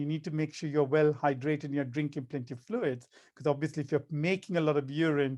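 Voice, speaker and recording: Using an ordinary speaking voice, a man talks fairly quickly at a fairly high pitch. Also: quiet background. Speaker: kidney doctor. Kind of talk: health talk.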